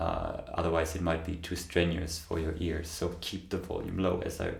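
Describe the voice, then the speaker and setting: A man speaks in a somewhat breathy, very deep, low voice with monotone, flat intonation, and audible room echo around him. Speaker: meditation channel host. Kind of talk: Q&A answering viewer questions. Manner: slow; halting.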